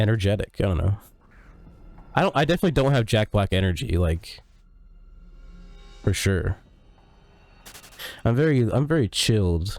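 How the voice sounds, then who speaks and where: A quiet man with a fairly low pitch and lively intonation at a moderate pace, long, frequent pauses, very even loudness and music in the background. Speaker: streamer. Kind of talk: casual chat. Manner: quiet, chilled; not loud. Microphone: good mic with good EQ.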